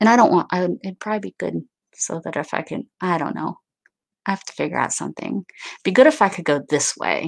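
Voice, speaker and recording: A fairly quick, fry-laden voice with very wide pitch swings over a quiet background. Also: woman. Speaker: YouTube craft creator. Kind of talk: casual live-stream haul chat; casual live stream chat. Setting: home live stream. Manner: chatty, many fillers.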